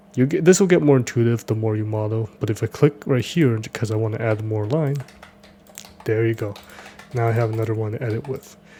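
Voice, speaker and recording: A man talks fairly quickly while noticeable background noise carries on behind him. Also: medium pitch for a man, ordinary pitch variation. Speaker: 3D modeling tutorial creator. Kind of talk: tutorial. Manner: fast; casual, with filler words.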